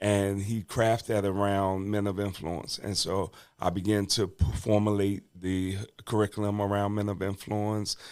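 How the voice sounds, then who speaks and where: In an American accent, a man speaks with a fairly low pitch and monotone, flat intonation. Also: moderate pace, very clean recording, silent background. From Washington DC. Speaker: bishop and reentry advocate, former prisoner. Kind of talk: podcast interview, personal testimony. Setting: podcast studio. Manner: conversational, with many fillers.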